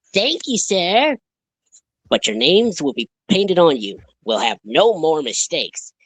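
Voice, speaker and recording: A put-on character voice sits at a middle pitch and moves at a moderate pace. Its pitch swings very widely. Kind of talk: children's train-story reading. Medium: game stream. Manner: polite, respectful.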